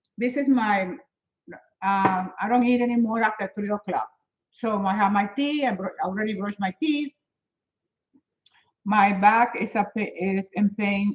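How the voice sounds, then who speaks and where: Speaking with a Spanish accent, a woman keeps her delivery at a moderate pace. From Venezuela. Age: 70s. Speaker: fitness and health motivator. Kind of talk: live stream chat with viewers. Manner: animated.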